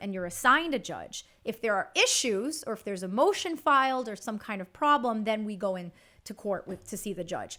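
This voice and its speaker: In a Chicago accent, a woman speaks with a fairly high pitch, a bright, sharp tone and lively intonation. Her loudness swings a lot, and the recording is very clean with a silent background. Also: fairly quick pace. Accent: Chicago American English. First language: Spanish. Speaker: bankruptcy attorney. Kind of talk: interview answer.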